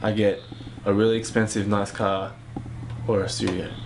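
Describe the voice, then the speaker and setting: Talking at a fairly quick pace, a man with a fairly low pitch keeps a fairly even intonation over noticeable background noise. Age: 20s. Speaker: singer and songwriter. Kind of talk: interview. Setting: home studio. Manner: hesitant, many fillers.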